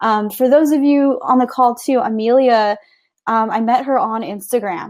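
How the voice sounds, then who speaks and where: A woman with a plain, everyday voice at a fairly slow pace. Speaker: online business coach. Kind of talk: webinar presentation. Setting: live webinar call.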